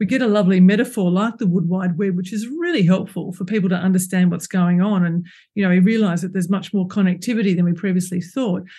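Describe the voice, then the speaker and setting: A woman speaks very fast with an Australian accent, her medium-pitched voice dark, mellow and somewhat breathy. Her pitch varies in an ordinary way. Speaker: ecologist and author. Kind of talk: casual interview. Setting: remote call.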